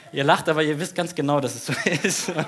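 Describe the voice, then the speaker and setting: Noticeable noise fills the background as a man rattles off his words very fast. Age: 30s. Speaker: pastor. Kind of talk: sermon. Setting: church stage with audience.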